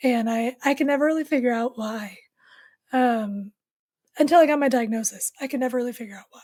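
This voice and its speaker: Delivered at a fairly quick pace, the speech has long, frequent pauses and big swings in loudness. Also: woman, high pitch for a woman. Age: young. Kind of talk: interview testimony. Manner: monotone at times; flat affect.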